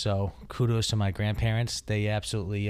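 On a very clean recording with a silent background, a man with an American accent and a normal speaking voice speaks at a moderate pace and a fairly low pitch. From Taunton, Massachusetts. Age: 30s. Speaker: plumbing business owner and house flipper. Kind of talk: casual interview chat.

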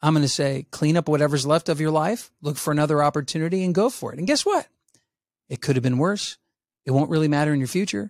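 A man with an American accent, very fast, fairly high-pitched, with ordinary pitch variation and a dry, close, echo-free sound on a very clean recording with a silent background. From US South. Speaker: social psychologist and resilience educator. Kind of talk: interview conversation.

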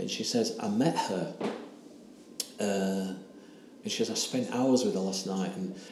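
This is a man speaking with an English accent. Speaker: ayahuasca retreat participant telling his story. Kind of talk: personal testimony, interview.

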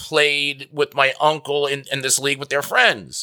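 A man with an American accent, fairly high pitch, and a bright, sharp tone, in a dry, close sound with no echo. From New Jersey. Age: 30s. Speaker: fantasy football analyst. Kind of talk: interview.

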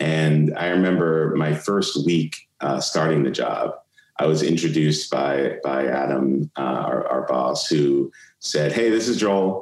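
Fairly slow and very even in loudness, a man with an American accent speaks in a very deep, low voice with ordinary pitch variation. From New York (Brooklyn). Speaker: marketing executive and investor. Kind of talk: interview conversation.

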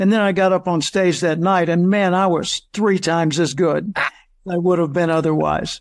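A man's high-pitched voice, fairly even in intonation and very even in loudness, with hardly any pauses, in a very clean recording with a silent background. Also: moderate pace. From US South, Arkansas. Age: 70s. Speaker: professional speaker and author. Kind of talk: interview.

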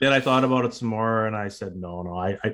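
A man speaks at a very fast pace with a Canadian accent. His pitch is medium with ordinary variation. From northern British Columbia, Canada. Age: 50s. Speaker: retired police officer and cancer survivor. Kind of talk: interview.

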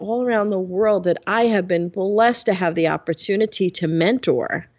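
A woman with an American accent and an unremarkable speaking voice, medium in pitch, speaks at a moderate pace with lively intonation. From US Northeast, Bronx, New York. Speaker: business leadership coach. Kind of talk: interview.

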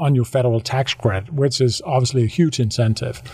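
A man with a Danish accent speaks with ordinary pitch variation. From Denmark, west coast. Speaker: solar business developer. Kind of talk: interview. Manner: halting.

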